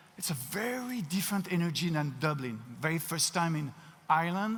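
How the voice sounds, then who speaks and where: A man with a French accent talks at a moderate pace. His pitch is fairly high and varies in an ordinary way. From France. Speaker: keynote speaker, company CEO. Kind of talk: keynote talk. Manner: halting, frequent word repetitions.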